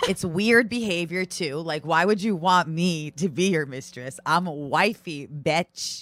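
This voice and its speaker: Her voice sits at a fairly low pitch with ordinary pitch variation. The woman speaks at a fairly slow pace. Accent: American. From New York (Brooklyn, Long Island). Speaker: stand-up comedian and reality TV personality. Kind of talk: casual chat.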